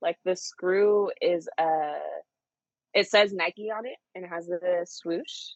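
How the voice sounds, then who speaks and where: A woman with an American accent, fairly slow, with ordinary pitch variation. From Louisiana and California. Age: 30s. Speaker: sneaker show host. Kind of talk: casual chat. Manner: animated.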